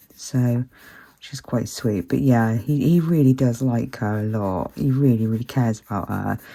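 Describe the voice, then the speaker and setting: Moderate pacing and ordinary pitch variation from a woman whose very deep, low voice has a dark, mellow tone. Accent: British. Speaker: colouring channel host. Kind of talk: casual chat while colouring. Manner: hesitant, many fillers.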